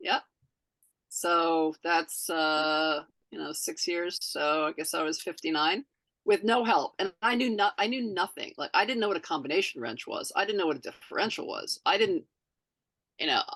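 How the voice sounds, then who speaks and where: Delivered at a moderate pace, the voice has a dry, close sound with no echo. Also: woman. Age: 60s. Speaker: amateur racing driver. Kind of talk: casual chat. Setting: podcast recording. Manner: halting.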